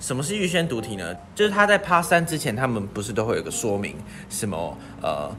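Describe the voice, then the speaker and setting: Over noticeable background noise and audible room echo, a man talks at a fairly quick pace. His medium-pitched voice has very wide pitch swings. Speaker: podcast co-host, student. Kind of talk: casual chat.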